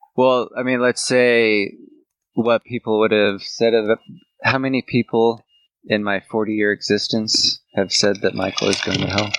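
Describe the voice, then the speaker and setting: At a fairly slow pace and a medium pitch, a man speaks with monotone, flat intonation in a dry, close sound with no echo. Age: 30s. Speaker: podcast co-host. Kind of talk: casual chat.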